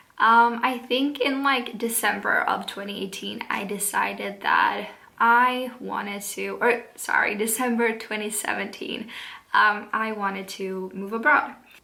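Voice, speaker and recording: With a Swedish accent, a woman speaks at a fairly slow pace and fairly high pitch with fairly even intonation, amid audible room echo and noticeable background noise. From Sweden. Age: 20s. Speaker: vlogger. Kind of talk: casual vlog talk. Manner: hesitant, many fillers.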